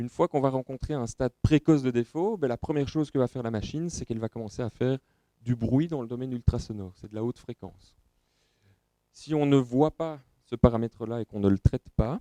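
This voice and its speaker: With a Belgian accent, a man speaks at a fairly quick pace in a medium pitch with a dark, mellow tone, ordinary pitch variation and big swings in loudness, in a dry, close sound with no echo. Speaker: company representative presenting at trade show. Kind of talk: technical presentation. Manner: hesitant, many filler sounds.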